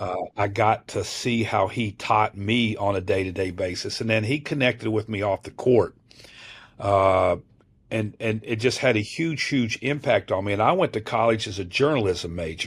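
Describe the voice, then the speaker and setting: On a very clean recording with a silent background, a man speaks in a fairly low, somewhat breathy voice. His tone is animated, his pace moderate and his pitch variation ordinary. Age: 60s. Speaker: college basketball assistant coach. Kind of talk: podcast interview. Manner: animated, with frequent fillers and restarts.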